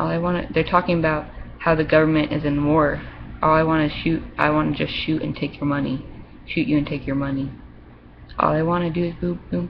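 A woman talking at a fairly quick pace over noticeable background noise. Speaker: vlogger. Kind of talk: casual webcam monologue, reading aloud and rambling. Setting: webcam video, home. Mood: upset about relationship. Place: home room. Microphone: webcam.

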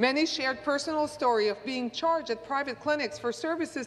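Her pitch is high for a woman. She is a woman whose pitch varies in an ordinary way. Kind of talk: formal political statement. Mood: earnest, critical. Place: hall. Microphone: podium.

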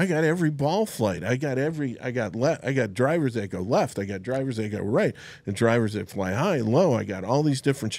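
Speaking at a very fast pace with hardly any pauses, a man uses lively intonation, and the sound is dry with no echo. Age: 60s. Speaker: golf club fitter; guest. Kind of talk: casual chat; podcast interview storytelling. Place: studio. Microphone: studio mic.

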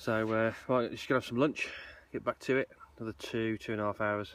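A man talks at a very fast pace with ordinary pitch variation. The sound is dry, with no echo. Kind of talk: casual vlog chat. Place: open country. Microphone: phone near.

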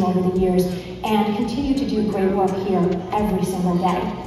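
Strong room echo and noticeable background noise fill the recording. A woman talks at a moderate pace with fairly even intonation. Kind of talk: acceptance speech. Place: hall.

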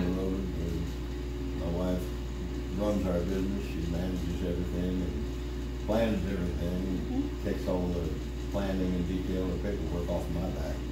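A man at a moderate pace, amid loud background noise and audible room echo. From Missouri, USA. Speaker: country music singer. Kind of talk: interview answer.

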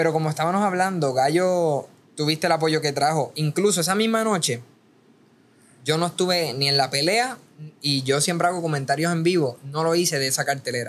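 A man talks at a fairly quick pace, his fairly high pitch showing ordinary variation. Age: 20s. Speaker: boxing content creator; podcast guest. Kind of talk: casual chat. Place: studio. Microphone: studio mic.

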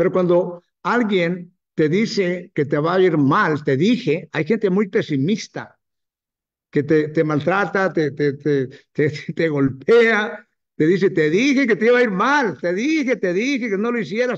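Against a quiet background, the words come out fairly slowly. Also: man, high pitch for a man. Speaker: network marketing distributor; business trainer. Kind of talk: motivational talk. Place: hall. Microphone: webcam.

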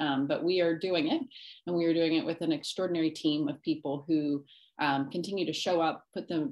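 At a fairly quick pace, a woman speaks with a fairly low pitch and ordinary pitch variation. She has an unremarkable speaking voice, heard against a quiet background. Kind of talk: presentation talk. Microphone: video call.

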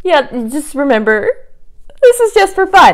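Her pitch swings very widely as a woman talks over a quiet background. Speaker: beauty vlogger. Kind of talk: casual vlog chat. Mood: playful, self-deprecating. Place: home room. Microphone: lapel.

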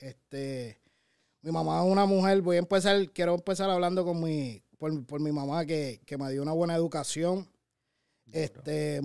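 A man's voice sits fairly high in pitch, with a dark, mellow tone. The background is quiet. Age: 30s. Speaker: radio show co-host and content creator; radio show co-host, content creator. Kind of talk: interview. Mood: relaxed, reflective storytelling. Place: studio. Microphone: studio mic.

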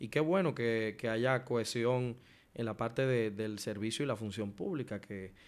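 This man's pitch shifts in an ordinary way. His speed is moderate. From Dominican Republic. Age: 20s. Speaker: podcast host. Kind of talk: interview. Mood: polite, respectful, engaged. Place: studio. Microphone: studio mic.

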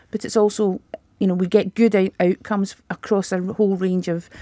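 This woman talks at a fairly quick pace. The sound is dry with no echo, over a quiet background. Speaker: guest. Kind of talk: interview answer. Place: studio. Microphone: studio mic.

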